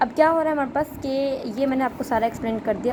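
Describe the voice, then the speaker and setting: Noticeable background noise sits behind a woman speaking. Her pitch is high, with ordinary variation. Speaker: medical student. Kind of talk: anatomy lecture.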